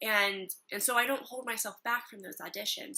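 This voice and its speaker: A bright, sharp tone with a slight Midwestern accent and fairly even intonation. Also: woman. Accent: slight Midwest American. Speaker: acting student vlogger. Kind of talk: casual vlog.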